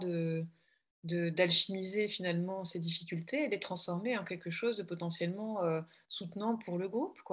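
A woman's medium-pitched voice at a fairly slow pace, with fairly even intonation over a quiet background. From Belgium. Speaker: coach. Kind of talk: casual conversation. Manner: halting, repeats words.

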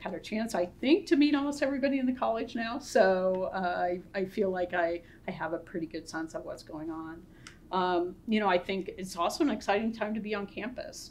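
Over light background noise, a woman talks at a fairly quick pace. She has an American accent and lively intonation. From US Midwest, northwest Ohio. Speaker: pharmacy school dean, scientist. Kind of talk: interview conversation. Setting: Zoom webinar. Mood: warm, positive. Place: office.

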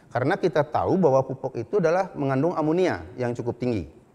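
Speaking with lively intonation, a man's voice sits at a fairly high pitch. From Bali, Indonesia (Karangasem); Bali, Indonesia. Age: 60s. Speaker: animal science professor. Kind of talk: lecture. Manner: halting. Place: office. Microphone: lapel.

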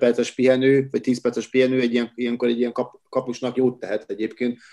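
A man's medium-pitched, dark and mellow voice at a very fast pace. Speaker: handball pundit. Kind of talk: casual chat.

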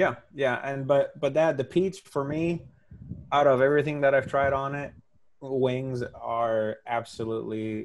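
With a Spanish accent, a man speaks at a moderate pace and a medium pitch, with ordinary pitch variation. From Spain. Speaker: hot sauce maker. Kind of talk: casual interview. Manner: halting. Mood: friendly, enthusiastic. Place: home room. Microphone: earbuds.

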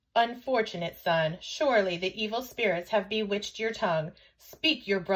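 The pitch moves in an ordinary way. The delivery is an unforced reading voice.

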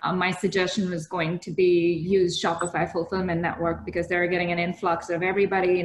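Over light background noise and audible room echo, a woman talks at a moderate pace with a fairly low pitch and fairly even intonation. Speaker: startup founder; panelist. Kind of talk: casual chat. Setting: video call. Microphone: headset.

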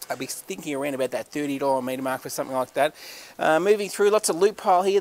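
Very fast speech from a man with an Australian accent, ordinary pitch variation and a dry sound with no echo. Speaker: auctioneer. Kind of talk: sales pitch. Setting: warehouse walk-through on camera. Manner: animated. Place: factory. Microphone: phone near.

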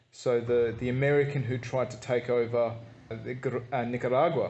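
Fairly even intonation runs through this man's speech. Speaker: travel vlogger. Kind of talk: walking-tour narration describing scenery as they stroll. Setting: outdoors, walking down a street. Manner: easygoing, warm descriptive tone with light hesitations. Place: street. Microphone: phone near.

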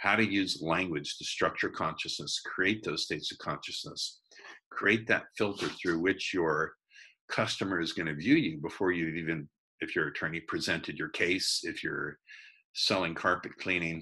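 Very deep and low yet bright and sharp in tone, a man's voice moves at a moderate pace with ordinary pitch variation. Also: quiet background. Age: 60s. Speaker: persuasion and sales trainer; sales trainer. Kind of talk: interview. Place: home room. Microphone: video call.

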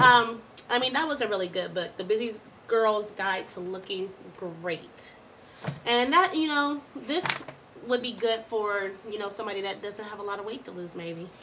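The speaker's animated tone comes at a moderate pace with big swings in loudness, and there is noticeable background noise. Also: woman, fairly high pitch for a woman, ordinary pitch variation. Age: 20s. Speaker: vlogger on weight-loss surgery. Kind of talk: casual video diary. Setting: at home, late night. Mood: playful, candid. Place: home room. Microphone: webcam.

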